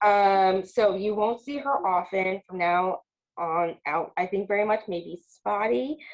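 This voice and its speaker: A woman with an American accent and an ordinary speaking voice, medium in pitch, at a fairly slow pace with ordinary pitch variation. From Long Island, New York. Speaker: podcast co-host. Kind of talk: casual chat.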